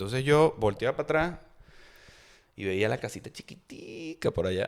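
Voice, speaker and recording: On a very clean recording with a silent background, a man with a Táchira Venezuelan accent speaks at a moderate pace in a medium pitch, his animated tone marked by very wide pitch swings. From Venezuela, Táchira state. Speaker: podcast host. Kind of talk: casual chat, storytelling.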